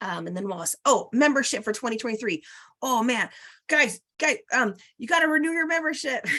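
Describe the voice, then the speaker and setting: A woman's high-pitched voice is raised and projected, with a bright, sharp tone and very wide pitch swings. The background is quiet. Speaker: quilt guild president hosting meeting. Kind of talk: club meeting announcements. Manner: fast.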